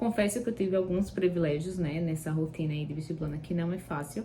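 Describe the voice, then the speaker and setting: Somewhat breathy and fairly low in pitch, a woman speaks with fairly even intonation. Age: 20s. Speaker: university student. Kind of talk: vlog sharing study tips. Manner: casual, with filler words.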